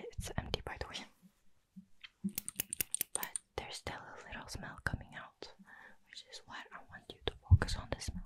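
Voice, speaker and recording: Someone whispers at a moderate pace. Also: woman. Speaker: ASMR creator. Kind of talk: ASMR whispered sniffing and triggers video. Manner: soft, whispery, repetitive. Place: home room. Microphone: studio mic.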